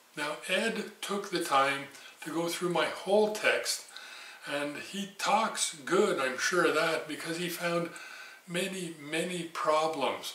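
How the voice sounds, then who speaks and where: Very slow speech with audible room echo and noticeable background noise. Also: man, high pitch for a man, ordinary pitch variation. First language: not English. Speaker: machining teacher. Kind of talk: tutorial. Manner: casual, folksy with filler words.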